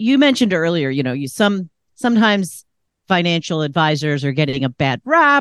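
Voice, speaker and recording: A normal speaking voice moves at a fairly quick pace, recorded dry and close with no echo against a quiet background. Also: woman. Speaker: podcast co-host. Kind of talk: casual chat.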